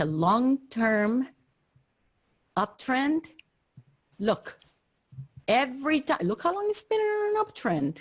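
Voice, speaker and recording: A woman speaks at a fairly slow pace in a somewhat breathy voice, her pitch swinging very widely. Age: 60s. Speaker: investing teacher. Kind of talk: online class review.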